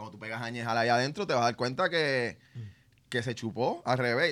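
In a Puerto Rican accent, a man talks at a very fast pace. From Puerto Rico (Mayagüez / San Lorenzo). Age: 40s. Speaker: chef. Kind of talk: casual chat. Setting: studio.

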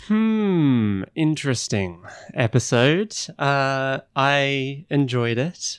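A man speaks at a very slow pace with a fairly high pitch. His pitch swings very widely. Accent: Australian. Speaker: podcast co-host. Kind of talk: casual chat; scripted narration.

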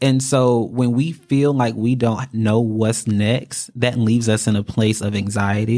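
A man's dark, mellow voice at medium pitch, with an American accent and fairly even intonation, on a very clean recording with a silent background. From North Carolina. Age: 20s. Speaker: funeral service apprentice. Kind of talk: casual chat.

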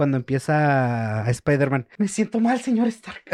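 This man speaks with a Mexican accent at a very slow pace. His pitch swings very widely. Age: 20s. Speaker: podcast co-host. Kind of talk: casual chat.

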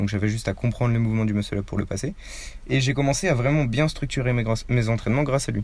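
A man talks at a very fast pace. His loudness stays very even throughout. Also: medium pitch for a man, ordinary pitch variation. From Paris suburbs, France. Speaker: street workout athlete, YouTuber. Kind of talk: casual interview.

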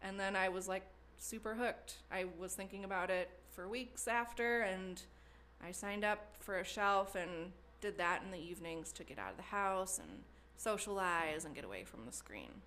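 With a slight Wisconsin accent, a woman speaks at medium pitch and a moderate pace. Her intonation is fairly even, though her loudness swings widely. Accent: slight Wisconsin Midwestern. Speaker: potter and studio member. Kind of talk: interview conversation.

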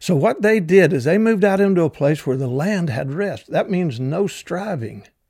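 A man with a Southern US accent, dark, mellow tone and lively intonation at a moderate pace, on a very clean recording with a silent background. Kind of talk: devotional teaching. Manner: hesitant, many fillers.

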